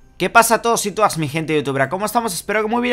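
Lively male intonation with music behind it. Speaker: gaming YouTuber. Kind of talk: gameplay commentary. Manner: fast.

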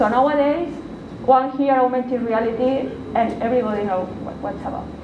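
The speaker has a Spanish accent and a moderate pace with fairly even intonation. Light background noise and audible room echo are present. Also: woman. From Spain, Valencia. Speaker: university researcher and lecturer. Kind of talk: lecture. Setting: stage with audience. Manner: halting. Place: meeting room. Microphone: camera far.

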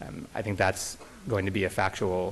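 A man's unremarkable speaking voice, fairly low in pitch, at a moderate pace over light background noise. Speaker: plaintiffs' attorney. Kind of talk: courtroom oral argument. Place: hall. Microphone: podium.

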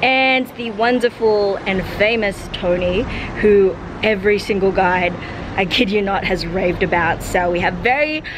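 Speaking fairly slowly with ordinary pitch variation, a woman is heard against noticeable background noise. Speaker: travel vlogger. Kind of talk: casual vlog chat. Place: street. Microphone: phone near.

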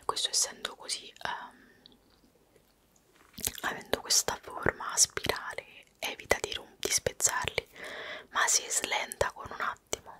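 Whispering at a very slow pace, a woman leaves long, frequent pauses, and her loudness swings widely. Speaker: ASMR creator. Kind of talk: ASMR whispered show-and-tell. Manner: whispered. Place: home room. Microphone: studio mic.

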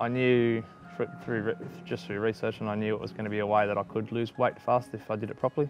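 Against clear music in the background, a man with an Australian accent talks at a very fast pace with fairly even intonation, in a dry sound with no echo. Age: 30s. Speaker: weight loss testimonial subject. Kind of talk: testimonial interview answer. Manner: casual, conversational, hesitant. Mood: reflective, calm. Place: garden. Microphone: lapel.

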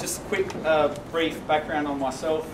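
A man talks at moderate speed while noticeable noise sits behind him. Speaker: teacher giving a presentation. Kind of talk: presentation to colleagues. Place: classroom. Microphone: camera far.

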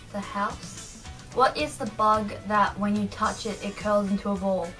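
A woman with an Australian accent at a fairly slow pace, fairly even intonation, faint music in the background. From Australia (New South Wales). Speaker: vlogger. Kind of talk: casual talk to camera. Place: home room. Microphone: webcam.

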